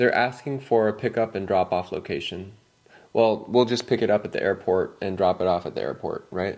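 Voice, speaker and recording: Speaking at a fairly quick pace, a man has an unremarkable speaking voice of medium pitch with fairly even intonation. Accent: American. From California. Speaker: English teacher. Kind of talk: scripted dialogue for learners. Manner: casual.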